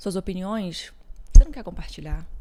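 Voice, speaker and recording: Pitch moves up and down in a normal way. The voice sounds dark and mellow. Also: woman. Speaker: podcast host. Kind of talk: reflective podcast intro monologue.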